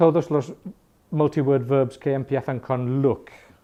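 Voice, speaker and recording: A man with a fairly high pitch and a dark, mellow tone talks at a moderate pace. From England, Irish family. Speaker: English teacher. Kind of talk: language class talk. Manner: halting, mixes Spanish and English.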